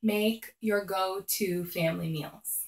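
Over a quiet background with audible room echo, a woman speaks with ordinary pitch variation. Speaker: mom lifestyle vlogger. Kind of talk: casual vlog tips. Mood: friendly, upbeat. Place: home room. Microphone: phone near.

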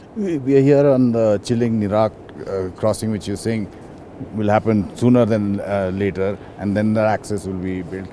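Speaking at a moderate pace, a man with a plain, everyday voice sits at a fairly low pitch with ordinary pitch variation over light background noise. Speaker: defence journalist. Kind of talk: interview. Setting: outdoors. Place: waterside. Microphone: lapel.

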